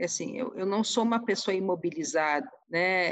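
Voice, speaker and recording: A woman with a normal speaking voice talks at a fairly slow pace, her pitch fairly low with ordinary variation. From Rio Grande do Sul, Brazil (Porto Alegre). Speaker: senate director-general. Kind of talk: interview conversation.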